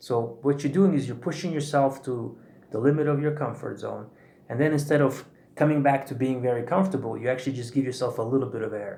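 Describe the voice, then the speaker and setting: Somewhat breathy and dark, mellow in tone, a man speaks at a medium pitch and fairly quick pace with ordinary pitch variation. Audible room echo surrounds his voice. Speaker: breathwork teacher. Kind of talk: tutorial. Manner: fast.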